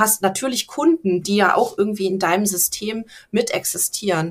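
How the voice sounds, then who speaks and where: This is a woman with a normal speaking voice. She talks at a moderate pace with ordinary pitch variation. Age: 30s. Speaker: business coach. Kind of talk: interview.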